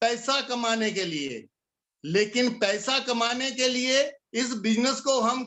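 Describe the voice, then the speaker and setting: A man's voice at an extremely high pitch. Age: 60s. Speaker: network marketing leader / motivational speaker. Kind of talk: motivational talk.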